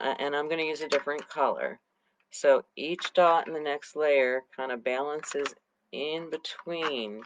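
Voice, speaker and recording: Soft-spoken and very deep, low in pitch, a woman talks at a fairly slow pace with fairly even intonation in a dry, close sound with no echo. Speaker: co-host teaching dot art. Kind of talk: tutorial.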